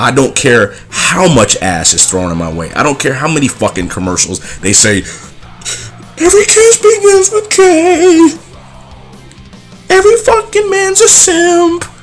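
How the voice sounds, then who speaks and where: Fairly slow delivery with long, frequent pauses over music in the background. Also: man. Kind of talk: angry rant to camera. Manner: angry, heated.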